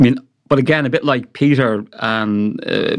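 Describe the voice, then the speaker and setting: A man with an Irish accent on a very clean recording with a silent background. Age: 50s. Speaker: professor of green political economy. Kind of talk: academic panel discussion.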